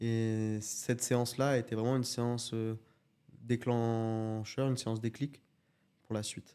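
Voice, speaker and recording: Monotone, flat intonation marks this man's dark, mellow tone. He talks at a fairly slow pace with long, frequent pauses. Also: medium pitch for a man. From France, Alps (Grésivaudan valley near Grenoble). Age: 20s. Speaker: judoka. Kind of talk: interview.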